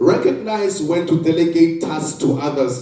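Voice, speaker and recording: The speech comes at a fairly slow pace, with audible room echo and noticeable background noise. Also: man. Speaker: pastor and school counselor. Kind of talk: motivational talk.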